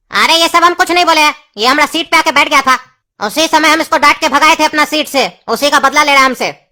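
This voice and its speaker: This cartoonish character voice sits at a high pitch. It races along at a very fast pace. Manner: brusque, scolding.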